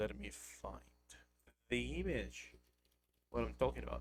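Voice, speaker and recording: Somewhat breathy delivery in a monotone, flat intonation. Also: man. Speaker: vtuber streamer. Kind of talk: casual livestream chat. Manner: deadpan.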